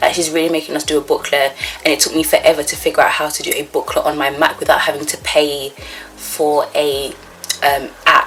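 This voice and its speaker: Noticeable background noise surrounds a woman speaking. She talks very fast, with long, frequent pauses. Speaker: vlogger, psychology student. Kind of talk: casual vlog.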